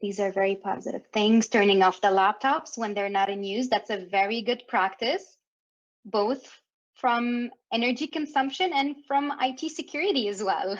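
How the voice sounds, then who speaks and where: A woman with a French Canadian accent, fairly high in pitch, with lively intonation at a moderate pace. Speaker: workshop facilitator. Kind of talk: interactive workshop facilitation. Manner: animated.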